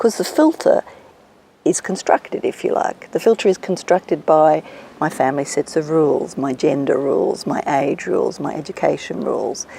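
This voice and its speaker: Over noticeable background noise, a woman with an Australian accent speaks at a moderate pace. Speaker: executive coach. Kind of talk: interview.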